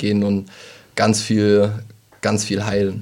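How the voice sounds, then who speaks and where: A man's fairly low-pitched voice. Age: 20s. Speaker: theology student and sound engineer. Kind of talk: casual chat. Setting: studio.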